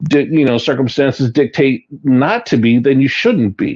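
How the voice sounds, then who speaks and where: Using a normal speaking voice, this man holds a medium pitch and shows ordinary pitch variation. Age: 60s. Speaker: retired police deputy chief. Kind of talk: radio interview.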